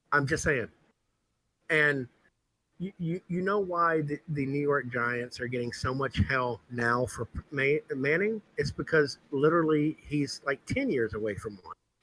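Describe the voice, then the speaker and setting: With a bright, sharp tone and fairly high pitch, a man talks at a fairly slow pace with ordinary pitch variation in a dry, close sound with no echo. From US South, New Orleans. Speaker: sports podcast co-host. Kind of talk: casual chat.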